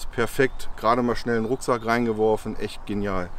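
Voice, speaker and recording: Over light background noise, a man talks at a fairly quick pace. The sound is dry with no echo. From Lower Saxony, Harz (Goslar); Lower Saxony. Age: 40s. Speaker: FPV drone pilot and YouTuber; YouTuber. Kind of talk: tutorial. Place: open country.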